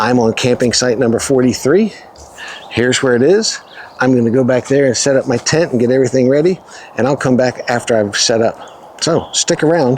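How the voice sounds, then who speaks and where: A man of medium pitch with very even loudness, over noticeable background noise. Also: ordinary pitch variation, fairly quick pace. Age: 60s. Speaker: camping vlogger. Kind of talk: casual vlog narration. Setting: outdoors.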